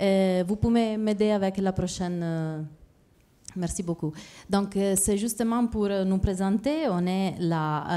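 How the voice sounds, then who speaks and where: A woman's dark, mellow voice in an Italian accent, medium in pitch with ordinary pitch variation, at a very slow pace. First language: Italian (speaking French). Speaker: fair trade project manager. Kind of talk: presentation. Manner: halting.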